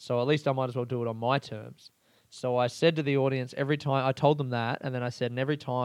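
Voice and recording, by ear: Natural-voiced reading aloud, intonation fairly even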